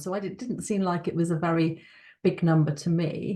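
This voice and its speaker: The speaker has a British accent and a somewhat breathy voice. The pace is fairly quick. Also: woman. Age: 60s. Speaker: powerlifter and speaker on evangelism. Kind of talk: personal testimony. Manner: conversational with frequent fillers.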